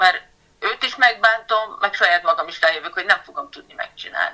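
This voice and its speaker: Lively intonation from a woman at fairly high pitch and a moderate pace. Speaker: patient advocate with a rare disease. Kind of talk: interview.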